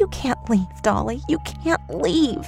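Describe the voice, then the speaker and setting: A put-on character voice talks at a fairly slow pace with clear music in the background. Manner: muttering, creepy.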